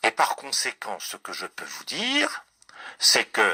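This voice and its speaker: Very slowly, a man speaks in a dry, close sound with no echo. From France, Ardennes. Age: 70s. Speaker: writer. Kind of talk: interview. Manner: hesitant, many fillers and repetitions.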